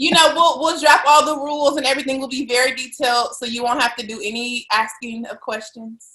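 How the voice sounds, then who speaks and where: The voice is bright and sharp, raised and projected, moving at a fairly quick pace with hardly any pauses and ordinary pitch variation. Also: woman, high pitch for a woman. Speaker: podcast host. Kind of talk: casual chat.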